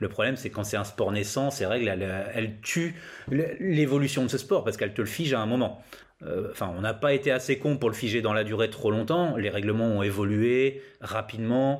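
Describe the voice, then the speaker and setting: A man with a plain, everyday voice talks at a fairly quick pace, using a medium pitch and ordinary pitch variation. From northern France, Laon (Aisne). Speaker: skatepark consultant, former roller skater. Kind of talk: interview, casual chat.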